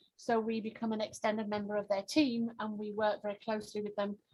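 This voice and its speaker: A woman with a strong English accent speaks at a fairly quick pace in a somewhat breathy, fairly high voice. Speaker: pharmaceutical launch consultant. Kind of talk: networking self-introduction.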